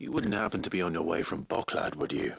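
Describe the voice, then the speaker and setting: A man performs a put-on character voice at a medium pitch. He rattles along at a very fast pace. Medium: video game. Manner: calm, dry.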